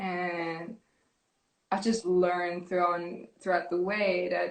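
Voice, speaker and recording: A woman speaks at a moderate pace. Her pitch sits in the medium range. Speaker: fashion model. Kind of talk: podcast interview. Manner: hesitant, repeats words.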